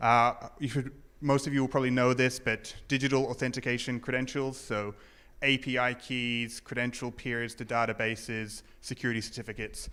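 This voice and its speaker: With a New Zealand accent, a man speaks at a fairly quick pace and medium pitch, his tone bright and sharp. His intonation is monotone and flat, on a very clean recording with a silent background. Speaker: conference speaker, security professional. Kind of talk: conference talk. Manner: hesitant, many fillers.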